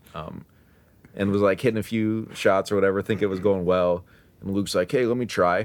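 Fairly quick and with fairly even intonation, a man talks at a fairly low pitch in a normal speaking voice. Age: 20s. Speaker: mobile app developer. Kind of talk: casual chat. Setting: room on a family trip, in person.

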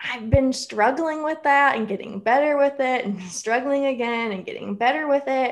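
A high-pitched woman's voice with ordinary pitch variation, at a moderate pace, against a quiet background. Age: 20s. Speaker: author. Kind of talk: casual chat.

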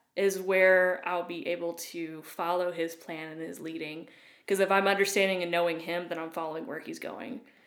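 With an East Tennessee accent, a woman with a fairly low pitch speaks at a moderate pace with fairly even intonation and big swings in loudness. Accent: Southern US (East Tennessee). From East Tennessee (Loudon, near Knoxville). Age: 20s. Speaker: youth ministry worker. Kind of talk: casual interview.

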